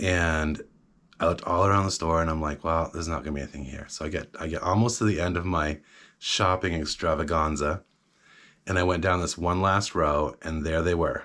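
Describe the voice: On a very clean recording with a silent background, a man with a low pitch and fairly bright tone speaks at a moderate pace with fairly even intonation.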